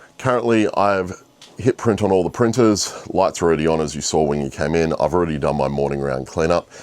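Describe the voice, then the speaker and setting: A man with a very deep, low voice talks at a fairly quick pace with lively intonation over noticeable background noise. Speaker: 3D printing vlogger. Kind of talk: casual vlog.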